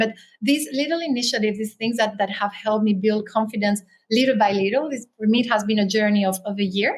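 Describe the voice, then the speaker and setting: This voice has a Spanish accent and is somewhat breathy. It moves at a fairly quick pace with fairly even intonation. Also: woman. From Spain, Canary Islands; also raised in France. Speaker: author and writer. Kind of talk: interview.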